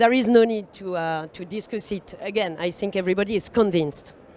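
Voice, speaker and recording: The speaker is a woman at a mid-range pitch. Her intonation rises and falls normally. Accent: French. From France. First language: French. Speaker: panel facilitator. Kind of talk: conference panel introduction. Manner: halting, many fillers.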